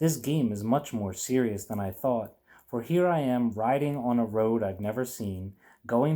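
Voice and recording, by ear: Someone reads aloud here in a natural voice.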